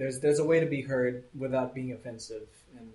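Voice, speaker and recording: A man's medium-pitched, monotone, flat delivery at a fairly quick pace, with audible room echo and noticeable background noise. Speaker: creative manager at an art studio. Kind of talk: casual chat. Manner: loud, voice carries.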